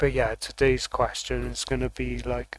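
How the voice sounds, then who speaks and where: A loud male voice. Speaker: vlogger doing tarot readings. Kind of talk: casual vlog monologue. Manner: talking kind of loud; halting, many fillers and restarts.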